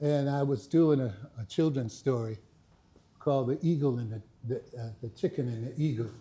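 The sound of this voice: The voice has a dark, mellow tone, a moderate pace, and ordinary pitch variation. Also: man, medium pitch for a man.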